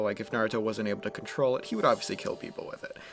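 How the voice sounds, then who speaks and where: Medium-pitched male speech over clearly audible background noise. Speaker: anime what-if storyteller. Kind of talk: casual improvised storytelling. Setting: at home. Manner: hesitant, repetitive fillers.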